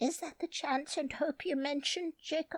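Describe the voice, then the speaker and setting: This put-on character voice is high-pitched and squeaky and moves at a moderate pace. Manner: faltering, demanding but unsure.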